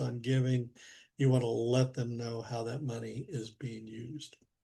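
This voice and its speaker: The tone is dark, mellow and somewhat breathy. Intonation stays monotone and flat. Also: man. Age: 70s. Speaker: church finance trainer. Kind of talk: webinar training presentation. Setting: video call webinar.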